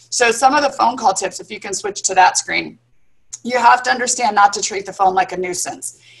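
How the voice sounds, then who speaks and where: Speaking at a fairly quick pace, a woman with a fairly high pitch uses lively intonation and big swings in loudness. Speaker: dental office management consultant. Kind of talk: webinar presentation. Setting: live video stream. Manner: fast.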